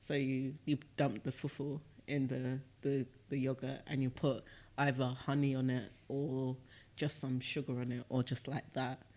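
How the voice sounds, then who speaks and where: Here is a man with a British accent. His intonation stays monotone and flat. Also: medium pitch for a man, moderate pace, very clean recording, silent background. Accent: British accent, even when speaking Shona. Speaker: podcast co-host. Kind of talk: casual chat.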